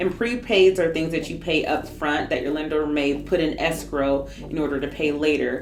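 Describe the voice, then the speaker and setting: Speech with hardly any pauses and ordinary pitch variation, amid noticeable background noise and audible room echo. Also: woman, very deep, low pitch for a woman. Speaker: realtor. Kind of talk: tutorial. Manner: fast.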